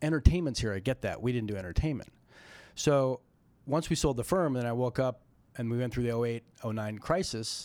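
A man with an American accent talks at a very fast pace, at a medium pitch with ordinary pitch variation, on a very clean recording with a silent background. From Colorado. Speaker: venture capital investor. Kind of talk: interview conversation.

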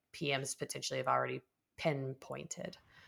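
The background is silent on this very clean recording. A woman speaks at a moderate pace. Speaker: podcast host. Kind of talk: interview.

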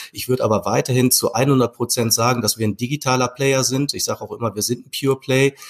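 Speaking at a very fast pace with hardly any pauses, a man keeps his intonation fairly even. The sound is dry and close, with no echo. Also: medium pitch for a man. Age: 40s. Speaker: e-commerce executive. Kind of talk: interview. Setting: video call.

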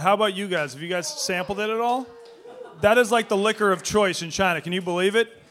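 With an American accent, a man speaks at a fairly quick pace in a high pitch. His pitch variation is ordinary, and there is noticeable background noise. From Boston. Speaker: sports media personality. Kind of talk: live podcast interview. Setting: stage with audience.

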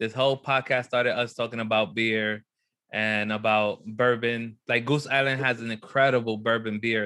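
Against a quiet background, a man with a bright, sharp tone and medium pitch talks at a moderate pace with fairly even intonation. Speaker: podcast co-host. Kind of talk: casual chat.

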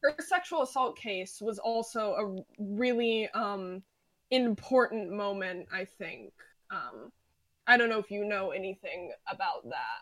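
A woman with an American accent, an ordinary speaking voice, fairly high pitch, lively intonation and a fairly slow pace. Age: 20s. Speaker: podcast guest, music fan. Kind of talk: casual chat.

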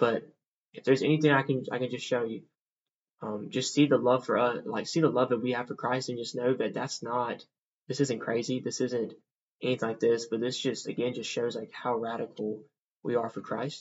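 At a fairly quick pace, a man with a Southern US accent speaks at medium pitch in a monotone, flat way. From US South, Mississippi. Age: 20s. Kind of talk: testimony.

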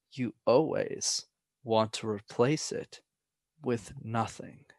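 Over a quiet background, a man's voice comes through dry and close, with no echo. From Montreal, Canada. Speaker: public speaking coach. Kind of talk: casual chat.

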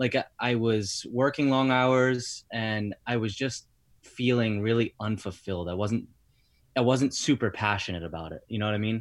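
Speaking with an American accent and a normal speaking voice, a man talks at a medium pitch. His pace is moderate, and his pitch varies an ordinary amount. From Rhode Island, US. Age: 30s. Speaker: personal trainer. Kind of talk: casual chat. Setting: remote call.

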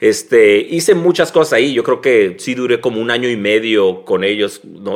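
The speaker has an ordinary speaking voice with ordinary pitch variation. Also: man. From Mexico, Tijuana. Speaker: graphic designer. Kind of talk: casual interview.

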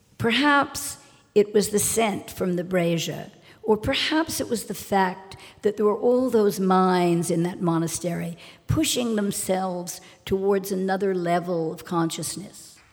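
This woman has an unremarkable speaking voice at a medium pitch. She talks at a fairly slow pace with ordinary pitch variation. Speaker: socialite. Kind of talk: live storytelling. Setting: stage with audience.

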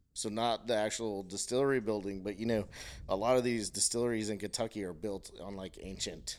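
A man with an ordinary speaking voice talks at a fairly quick pace in a fairly low pitch. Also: fairly even intonation. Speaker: guest, whiskey drinker. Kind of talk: casual chat over drinks. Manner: relaxed, joking.

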